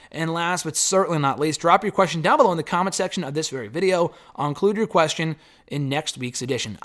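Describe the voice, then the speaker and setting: At a very fast pace, a put-on character voice comes out raspy. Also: man, high pitch for a man. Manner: speaking very fast.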